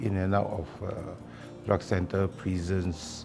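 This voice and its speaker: Over music in the background, a man speaks at a fairly low pitch and a fairly slow pace. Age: 60s. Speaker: ex-offender. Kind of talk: interview testimony.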